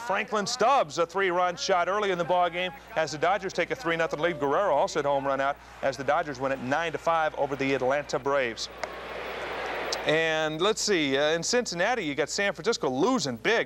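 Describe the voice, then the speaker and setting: Speaking at a fairly quick pace, a man uses a high pitch and lively intonation. Noticeable background noise is present. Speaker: TV sportscaster. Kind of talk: local TV sports news report.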